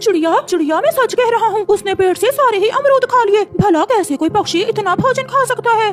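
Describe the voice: An extremely high-pitched cartoonish character voice moves at a fairly quick pace over clear background noise.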